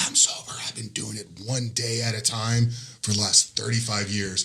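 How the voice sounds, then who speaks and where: A man puts on a raspy character voice at medium pitch, talking at a moderate pace in a flat monotone. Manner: frail, weary.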